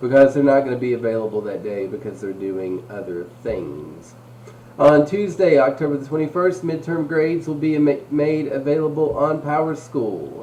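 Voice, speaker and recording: Noticeable background noise accompanies a man with a fairly high pitch speaking at a moderate pace, with lively intonation and big swings in loudness. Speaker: school administrator. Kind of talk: school announcements. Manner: casual, joking.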